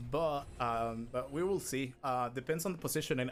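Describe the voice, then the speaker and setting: A man at a fairly quick pace with ordinary pitch variation, backed by music. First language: not English. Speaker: speedrunner. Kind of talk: live gameplay commentary. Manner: halting.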